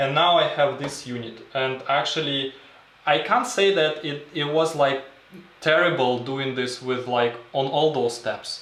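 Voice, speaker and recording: In a room with audible echo and noticeable background noise, a man speaks at a fairly slow pace. His pitch is fairly high and his intonation fairly even. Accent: non-native. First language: not English. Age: 30s. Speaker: film photographer and video creator. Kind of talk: livestream tutorial. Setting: home darkroom livestream. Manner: halting, many fillers.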